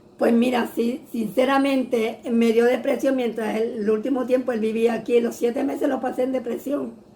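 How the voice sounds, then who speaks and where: A woman with high pitch talks with hardly any pauses. Noticeable background noise sits behind her. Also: moderate pace. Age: 70s. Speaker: churchgoer sharing her testimony. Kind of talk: testimony in an interview. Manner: halting.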